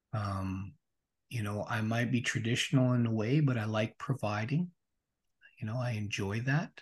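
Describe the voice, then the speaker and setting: Over a quiet background, a man with a Canadian accent speaks at a medium pitch, somewhat breathy, with long, frequent pauses. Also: ordinary pitch variation, moderate pace. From Regina, Saskatchewan, Canada. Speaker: transformation coach. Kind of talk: interview conversation.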